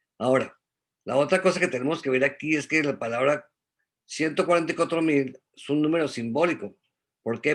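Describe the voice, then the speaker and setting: Ordinary pitch variation in a man's voice. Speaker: Bible study teacher. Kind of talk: religious study talk. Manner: fast.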